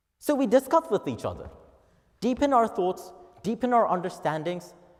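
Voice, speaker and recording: A man with a Japanese accent speaks with vocal fry. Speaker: office worker. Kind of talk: speech contest oration. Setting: auditorium.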